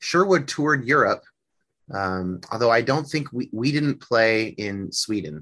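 A man with an American accent and a bright, sharp tone, medium in pitch with very wide pitch swings, at a fairly slow pace against a quiet background. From Northern California, US. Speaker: musician and psychology student. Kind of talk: interview conversation.

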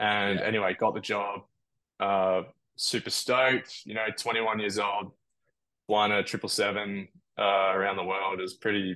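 Using an Australian accent, a man speaks at a fairly low pitch in a bright, sharp tone with monotone, flat intonation. He keeps a moderate pace with long, frequent pauses. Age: 20s. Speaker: airline pilot. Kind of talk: casual chat.

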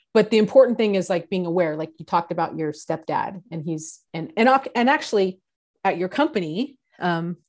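With an American accent and a normal speaking voice, a woman talks at a moderate pace and a fairly low pitch against a quiet background. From San Diego, California. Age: 40s. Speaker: podcast co-host, HR professional. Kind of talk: casual chat.

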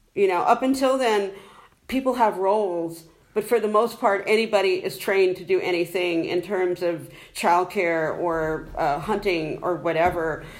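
An American-accented woman speaks at a moderate pace and medium pitch, with ordinary pitch variation and an unremarkable speaking voice. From United States. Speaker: conference attendee.

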